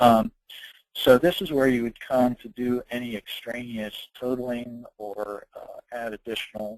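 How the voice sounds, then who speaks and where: Recorded with a dry, close sound and no echo, a man with an unremarkable speaking voice talks at a fairly slow pace and a medium pitch. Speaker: software consultant presenting a webinar. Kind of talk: software tutorial webinar. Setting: online webinar. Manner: casual with many filler words.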